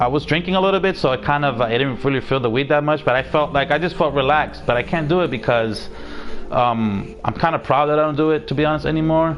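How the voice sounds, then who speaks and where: The speaker talks very fast in an animated tone, with ordinary pitch variation and very even loudness. Noticeable background noise runs underneath. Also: man, fairly high pitch for a man. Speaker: gaming streamer. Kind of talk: casual chat.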